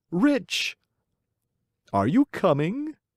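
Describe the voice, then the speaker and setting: Someone puts on a character voice, speaking at a fairly slow pace. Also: man. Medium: read story. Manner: persuasive, wheedling.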